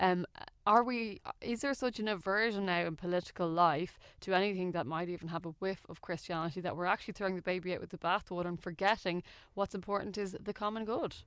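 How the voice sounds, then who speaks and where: A woman with an Irish accent at a very fast pace, medium pitch and ordinary pitch variation, over a quiet background. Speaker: radio host. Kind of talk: radio interview. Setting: radio studio.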